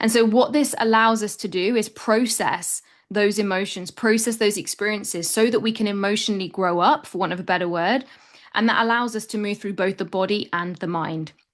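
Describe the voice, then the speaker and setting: The speaker talks at a fairly quick pace with ordinary pitch variation against a quiet background. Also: woman, medium pitch for a woman. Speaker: root cause therapist. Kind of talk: webinar presentation. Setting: video webinar. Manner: fast.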